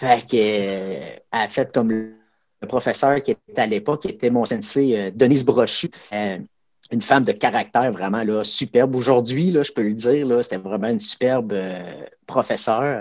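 With a Quebec accent, a man talks at a moderate pace. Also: medium pitch for a man, ordinary pitch variation. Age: 40s. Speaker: karate instructor. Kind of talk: casual interview.

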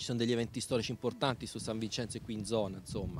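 The speech comes at a very fast pace, dry with no echo, over light background noise. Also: man. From Italy, mountain village. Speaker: former soldier turned boat tour operator. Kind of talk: interview; interview answer. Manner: halting. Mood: earnest, somewhat concerned. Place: waterside. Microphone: handheld.

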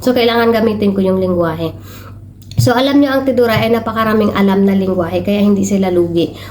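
Speech comes at a very fast pace in a strong Mindanao accent, with ordinary pitch variation and very even loudness. Audible room echo and noticeable background noise surround it. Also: woman, medium pitch for a woman. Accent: strong Tiruray accent in Tagalog. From Philippines, Mindanao (Tiruray people). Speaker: vlogger, overseas domestic worker. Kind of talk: casual vlog. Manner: halting, stumbles over words.

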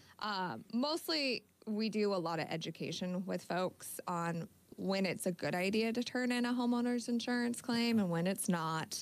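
A woman with an American accent talks at a fairly slow pace, her intonation lively. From Northern California (Yuba City); California. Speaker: insurance agent; guest. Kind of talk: radio interview. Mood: calm, friendly. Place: studio. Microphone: studio mic.

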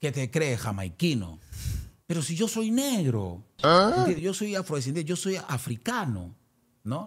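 The recording is very clean, with a silent background. A man at a fairly high pitch speaks at a fairly slow pace, his pitch swinging very widely. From Peru. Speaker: singer, former band manager. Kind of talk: interview. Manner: halting.

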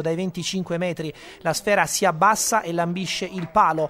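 Noticeable background noise sits behind a man whose high-pitched voice has an animated, excited tone. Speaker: sports commentator. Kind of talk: sports commentary voiceover. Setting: studio voiceover over highlight footage. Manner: fast, energetic, punchy narration with quips; animated, excited play-by-play delivery.

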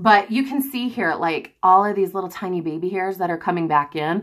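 Against a quiet background, a woman with a fairly low voice speaks at a fairly quick pace. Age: 30s. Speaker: mother vlogging about gastric balloon weight loss. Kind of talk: casual talk to camera. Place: home room. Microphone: phone near.

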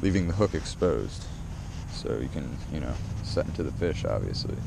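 Noticeable background noise sits under a dry, echo-free recording of a man speaking at a moderate pace with ordinary pitch variation. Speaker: fishing vlogger. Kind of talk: casual vlog chat. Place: waterside. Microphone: phone near.

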